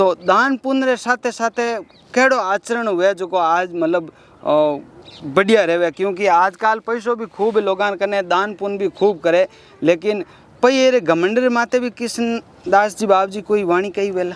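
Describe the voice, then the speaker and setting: High-pitched male speech, its pitch varying in an ordinary way. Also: dry, close sound with no echo. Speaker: interviewer. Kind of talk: interview questions.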